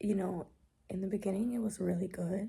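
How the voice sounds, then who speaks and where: This soft-spoken woman has a medium pitch and a dark, mellow tone with vocal fry. Her intonation is monotone and flat. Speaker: book vlogger. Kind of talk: casual vlog book review. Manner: casual, filler-heavy; soft-spoken, quiet.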